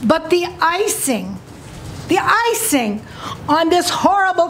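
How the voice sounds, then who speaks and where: Noticeable background noise runs beneath the recording. A woman speaks at a very slow pace. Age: 80s+. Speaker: citizen testifying at public hearing. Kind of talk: public testimony. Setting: county commission meeting.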